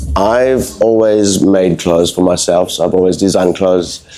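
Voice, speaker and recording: A man's very deep, low pitch at a moderate pace, ordinary pitch variation, noticeable background noise throughout. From France and the Caribbean. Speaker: fashion brand founder and tattoo studio owner. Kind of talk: interview. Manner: halting, many fillers.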